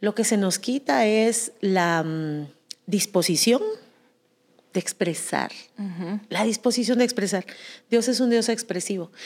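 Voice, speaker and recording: Someone speaks in an animated tone at a fairly slow pace, with ordinary pitch variation and long, frequent pauses. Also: woman, medium pitch for a woman. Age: 40s. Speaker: podcast co-host. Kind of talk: casual chat.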